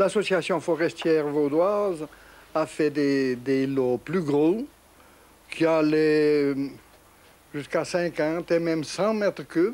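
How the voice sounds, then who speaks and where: Keeping his loudness very even, a man speaks at a very slow pace with long, frequent pauses, a fairly high pitch and ordinary pitch variation. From Switzerland, canton of Vaud (village at the foot of the Jura). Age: 70s. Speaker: farmer and sawmill operator. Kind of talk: interview, oral history. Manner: halting, with repetitions.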